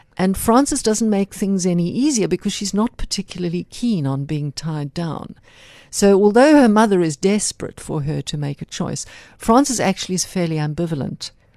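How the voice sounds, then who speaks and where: Her voice has a dark, mellow tone at a medium pitch, with lively intonation. The woman talks at a moderate pace in a dry, close sound with no echo. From South Africa. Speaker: novelist. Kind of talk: author interview.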